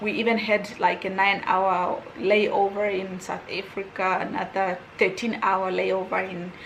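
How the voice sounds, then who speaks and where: In a non-native accent, a woman speaks at a fairly slow pace and medium pitch, with audible room echo and noticeable background noise. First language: not English. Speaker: YouTuber. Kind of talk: storytime vlog. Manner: casual, rambling with self-corrections.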